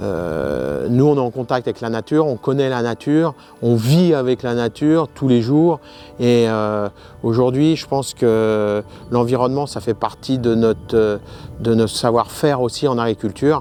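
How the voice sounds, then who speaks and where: With music playing behind him, a man talks at a fairly slow pace, his medium pitch rising and falling in an ordinary way. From France, Essonne (Dourdan area). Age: 50s. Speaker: farmer. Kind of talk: interview. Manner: hesitant, many fillers.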